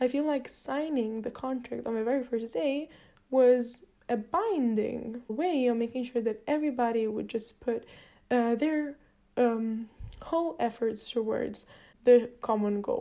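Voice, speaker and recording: In a non-native accent, a woman speaks fairly slowly with a high pitch, a dark, mellow tone and ordinary pitch variation. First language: not English. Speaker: university student. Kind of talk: video reflection log. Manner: slightly halting, with fillers.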